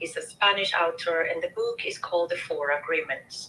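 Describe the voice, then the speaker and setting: A woman with a non-native accent speaks over noticeable background noise. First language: not English. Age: 30s. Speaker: show host sharing personal story. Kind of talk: interview testimony.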